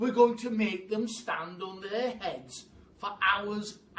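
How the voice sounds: This reading voice sounds natural and holds a fairly even intonation.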